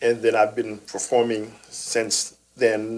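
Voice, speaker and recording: This man speaks very slowly. His voice has a medium pitch. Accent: Haitian. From Haiti. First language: Haitian Creole or French. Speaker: theater director. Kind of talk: interview.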